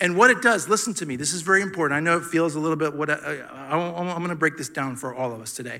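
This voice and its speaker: A man's bright, sharp, fairly high voice at a very fast pace with ordinary pitch variation, on a very clean recording with a silent background. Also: big swings in loudness. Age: 40s. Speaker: pastor. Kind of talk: sermon. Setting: church with congregation. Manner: animated.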